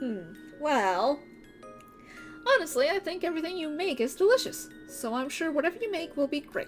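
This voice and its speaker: With clear music in the background, a woman puts on a character voice at a high pitch. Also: fairly quick pace. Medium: game stream.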